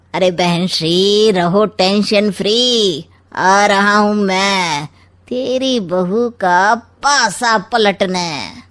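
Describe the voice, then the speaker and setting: A woman uses a put-on character voice at a medium pitch, speaking at a very slow pace with ordinary pitch variation. The recording is very clean, with a silent background. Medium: read story. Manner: cheeky, sly, rhyming quips.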